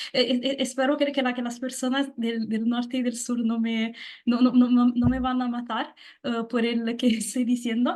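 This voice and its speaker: Someone with a strong Italian accent speaks at a moderate pace in a monotone, flat delivery. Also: woman, high pitch for a woman. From southern Italy, Naples. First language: Italian (speaking Spanish). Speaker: guest. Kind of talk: interview. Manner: halting, many fillers; loud.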